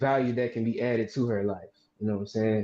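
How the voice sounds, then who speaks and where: Speaking with a Southern US accent, a man at medium pitch keeps a monotone, flat intonation. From Mississippi. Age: 20s. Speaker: caller. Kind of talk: casual chat. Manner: halting.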